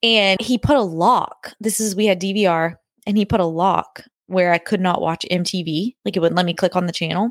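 In a normal speaking voice, a woman talks at a fairly quick pace with medium pitch and fairly even intonation. The sound is dry and close, with no echo. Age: 20s. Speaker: podcast co-host, married couple. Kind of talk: casual chat.

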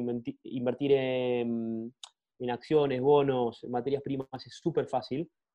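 A man's medium-pitched voice, monotone and flat, at a very slow pace. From Argentina. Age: 30s. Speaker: product manager. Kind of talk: interview conversation.

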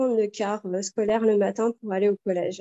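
The speaker here is a woman. Her pace is moderate. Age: 40s. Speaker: mother giving testimony. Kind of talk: testimony. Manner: halting, many repetitions and fillers.

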